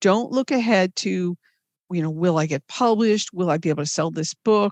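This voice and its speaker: A woman with an ordinary speaking voice and an American accent speaks at a moderate pace with ordinary pitch variation, in a dry, close sound with no echo and a quiet background. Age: 60s. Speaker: novelist. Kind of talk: interview.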